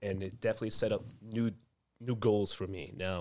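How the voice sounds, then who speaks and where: The man's pitch is fairly low and his intonation fairly even. He talks at a very fast pace. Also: very clean recording, silent background. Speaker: gym coach. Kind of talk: casual chat.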